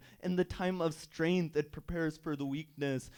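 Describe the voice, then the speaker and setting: With fairly even intonation, a man speaks in an ordinary speaking voice that sits fairly high in pitch. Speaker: Islamic preacher. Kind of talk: sermon.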